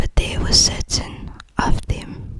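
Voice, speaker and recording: A whispering voice with a gentle tone comes through over noticeable background noise. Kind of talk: ASMR book reading to help sleep; whispered bedtime reading. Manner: soft, whispered, gentle.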